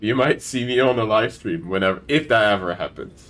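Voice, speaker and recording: The man's delivery is fairly quick. He uses lively intonation. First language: not English. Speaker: gaming streamer. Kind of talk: casual chat.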